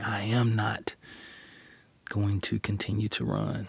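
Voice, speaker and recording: At a fairly slow pace, a man speaks in a somewhat breathy voice with fairly low pitch. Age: 40s. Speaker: podcast host and preacher. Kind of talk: sermon-style monologue. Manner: animated.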